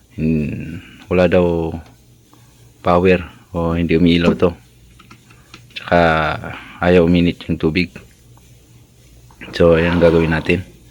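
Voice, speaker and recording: A man with a very deep, low pitch talks at a fairly slow pace, leaving long, frequent pauses. His intonation is flat and monotone, and noticeable background noise is present. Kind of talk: tutorial. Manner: casual, conversational.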